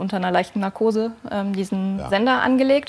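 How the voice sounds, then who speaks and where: The speaker is a woman with ordinary pitch variation. Her pace is fairly quick. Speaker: wildlife biologist; talk show guest. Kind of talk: TV talk show. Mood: friendly, slightly shy. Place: studio. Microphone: lapel.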